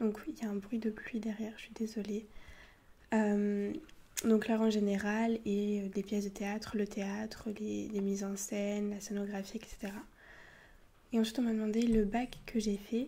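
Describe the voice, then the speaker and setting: A woman speaks at a fairly slow pace with long, frequent pauses, in a medium pitch. Her voice is somewhat breathy and dark and mellow in tone, with flat, monotone intonation. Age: 20s. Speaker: ASMR youtuber and university student. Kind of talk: casual Q&A talk to camera. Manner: soft-spoken; halting, many fillers.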